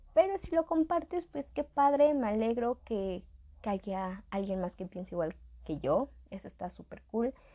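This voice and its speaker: A woman with a Mexican accent speaks at a fairly slow pace, her fairly high voice dark and mellow in tone with very wide pitch swings. The sound is dry and close, with no echo. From Mexico. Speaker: podcast host. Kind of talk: casual educational monologue. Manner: chatty, informal.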